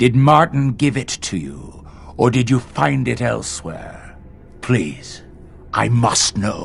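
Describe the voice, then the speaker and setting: Over clear background noise, a man does a put-on character voice at a medium pitch, speaking fairly slowly with very wide pitch swings. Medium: video game. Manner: formal, measured.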